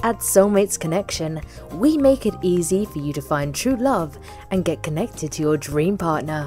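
Background music under a woman's moderately paced speech. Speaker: voice actor. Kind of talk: TV commercial read.

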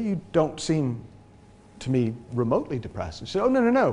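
A man speaks with an American accent. His pitch swings very widely. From New England, US (near Boston, Massachusetts). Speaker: transformation coach. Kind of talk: talk to an audience. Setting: stage with audience. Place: hall.

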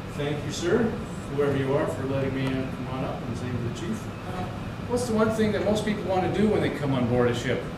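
Amid loud background noise and audible room echo, a man talks at a very fast pace. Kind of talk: casual vlog chat. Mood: playful, excited. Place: boat.

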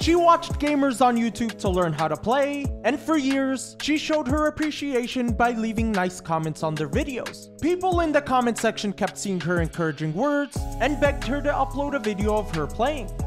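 Over music in the background, a woman with a fairly high pitch talks at a moderate pace with very wide pitch swings and hardly any pauses. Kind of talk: short documentary-style story narration.

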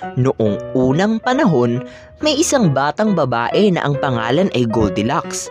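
A fairly slow pace over music in the background. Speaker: voice-over artist. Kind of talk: children's story reading.

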